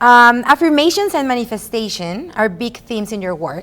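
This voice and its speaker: Speaking with a Spanish accent, a woman uses very wide pitch swings. Her voice is high-pitched, and her pace is moderate. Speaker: podcast host. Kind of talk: interview.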